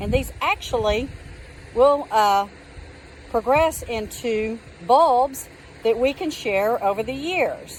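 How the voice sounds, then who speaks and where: Very slow delivery in a Texan accent, lively in intonation, with long, frequent pauses. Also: woman, high pitch for a woman. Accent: Texas accent, drawn-out vowels. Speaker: gardening vlogger. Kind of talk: casual tutorial. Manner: casual, with many fillers.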